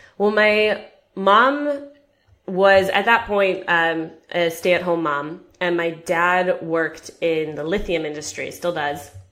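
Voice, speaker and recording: At a very slow pace, a woman with an American accent speaks in a fairly low pitch with ordinary pitch variation, and the room echo is audible. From American expat raised in Japan and China. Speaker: personal finance author. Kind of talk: interview.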